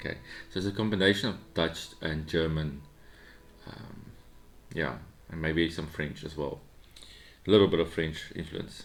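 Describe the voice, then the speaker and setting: A man talks at a moderate pace with a very deep, low pitch and ordinary pitch variation, leaving long, frequent pauses. His loudness swings widely, and the room echo is audible. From South Africa. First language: Afrikaans. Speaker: Lego building YouTuber. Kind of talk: casual build vlog chat. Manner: rambling, hesitant with many ums.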